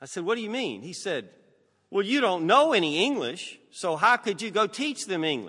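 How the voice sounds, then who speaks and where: A man with a high, bright, sharp voice and a Southern US accent speaks in a raised, projected voice with very wide pitch swings against a quiet background. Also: moderate pace. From US South. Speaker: preacher. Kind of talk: sermon. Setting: church.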